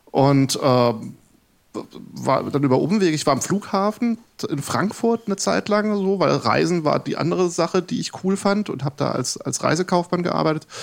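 Using an ordinary speaking voice, a man with a fairly high pitch speaks at a moderate pace with lively intonation. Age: 40s. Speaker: game developer and lecturer. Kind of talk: casual chat. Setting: live radio studio with audience.

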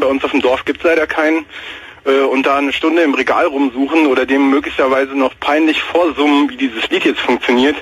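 Over noticeable background noise, a man speaks at a very fast pace. His fairly high voice stays monotone and flat. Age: 20s. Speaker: caller. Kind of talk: casual chat.

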